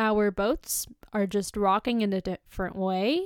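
Recorded dry and close with no echo, a woman uses an ordinary speaking voice at a fairly high pitch. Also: very clean recording, silent background. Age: 20s. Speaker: podcast host, youth self-development speaker. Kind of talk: solo motivational podcast talk. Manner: casual, chatty.

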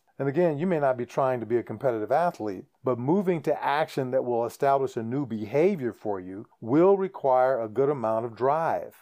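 A man talks fairly quickly at medium pitch, with lively intonation and hardly any pauses. His tone is dark and mellow, and the recording is very clean against a silent background. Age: 60s. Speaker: podcast host. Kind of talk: solo monologue podcast. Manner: casual, conversational with hesitations.

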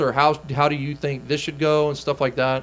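Over noticeable background noise, a man with a Texan accent talks at a moderate pace. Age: 20s. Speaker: country musician. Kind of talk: interview. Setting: radio studio.

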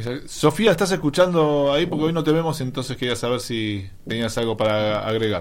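A man's normal speaking voice at a medium pitch, fairly quick in pace, with lively intonation. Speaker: radio host. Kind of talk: casual chat.

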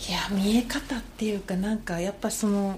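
A woman's fairly high voice has a dark, mellow tone and is somewhat breathy. She speaks at a moderate pace. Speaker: trail runner. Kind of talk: casual chat.

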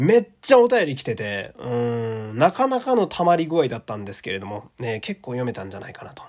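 A man's medium-pitched voice at a fairly quick pace, with hardly any pauses, big swings in loudness and lively intonation. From Japan, Fukui. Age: 30s. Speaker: podcaster. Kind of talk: casual chat with listener mail.

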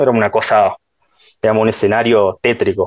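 His pitch stays in a medium range. The man speaks at a fairly quick pace. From Salta, northwestern Argentina. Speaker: shopkeeper and political supporter. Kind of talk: interview. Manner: hesitant, many fillers.

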